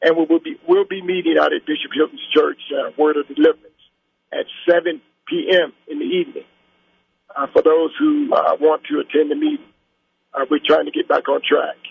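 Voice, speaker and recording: A man with an American accent speaks at a moderate pace, leaving long, frequent pauses. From US Midwest, Cincinnati. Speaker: caller, community activist. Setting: phone call. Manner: halting.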